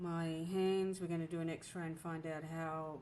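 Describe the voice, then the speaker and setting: A woman talks at a fairly slow pace with a fairly low pitch and monotone, flat intonation. Noticeable background noise and audible room echo sit behind her. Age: 50s. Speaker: planner vlogger. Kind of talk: casual chat. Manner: halting.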